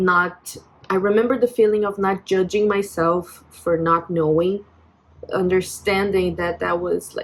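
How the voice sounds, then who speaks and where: A woman of medium pitch with a Brazilian accent, at a fairly slow pace and with fairly even intonation, over noticeable background noise. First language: Portuguese. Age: 20s. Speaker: vlogger. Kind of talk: personal vent vlog. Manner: halting, many fillers and restarts.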